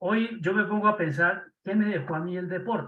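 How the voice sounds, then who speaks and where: A man speaks in a raised, projected voice at a high pitch. His tone is bright and sharp. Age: 70s. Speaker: former Jesuit. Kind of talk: casual chat.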